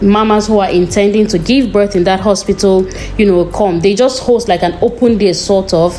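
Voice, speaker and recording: A woman talks at a fairly quick pace and medium pitch. Her pitch varies in an ordinary way over noticeable background noise. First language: not English. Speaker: vlogger. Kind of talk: vlog narration. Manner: casual.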